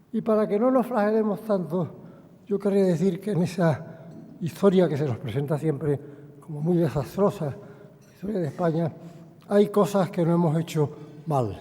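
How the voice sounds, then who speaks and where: A man's high voice at a moderate pace, with ordinary pitch variation. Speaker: chairman of a museum board. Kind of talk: formal introductory speech. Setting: lectern at public forum.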